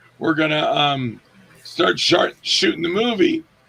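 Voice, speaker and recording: A man speaks at a moderate rate, with noticeable noise behind him. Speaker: actor and director. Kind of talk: casual interview. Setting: in the room with host. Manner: halting, many fillers.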